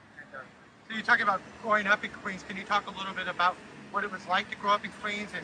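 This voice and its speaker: A man speaks at a high pitch. Noticeable background noise runs underneath. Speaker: video interviewer. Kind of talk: interview. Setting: outdoors. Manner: loud.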